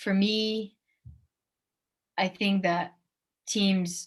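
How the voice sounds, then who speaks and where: A woman's somewhat breathy voice at medium pitch, monotone and flat in intonation. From France. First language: French. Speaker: professional basketball player. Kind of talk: interview. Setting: video call.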